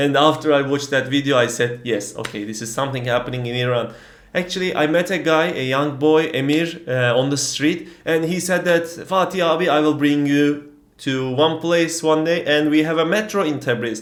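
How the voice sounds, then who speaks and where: Heard with audible room echo, a man with a Turkish accent speaks at a moderate pace in a fairly high voice with ordinary pitch variation. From Turkey. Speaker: travel vlogger. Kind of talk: casual vlog storytelling. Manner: hesitant, many fillers.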